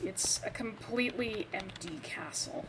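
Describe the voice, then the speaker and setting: Noticeable background noise sits behind a woman whose fairly high voice has lively intonation. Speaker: gaming video creator. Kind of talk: game walkthrough commentary. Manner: stumbling over words. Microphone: poor audio quality.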